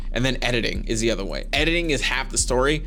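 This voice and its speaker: The voice belongs to a man, and the room gives it an audible echo. Background noise can be clearly heard too. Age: 30s. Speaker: YouTube content creator. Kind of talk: casual talking-head vlog. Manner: fast; relaxed, conversational.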